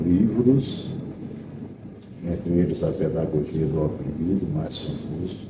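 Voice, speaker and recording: Audible room echo surrounds a man who talks at a fairly slow pace with very wide pitch swings. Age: 60s. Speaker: teacher and radio broadcaster. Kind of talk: interview.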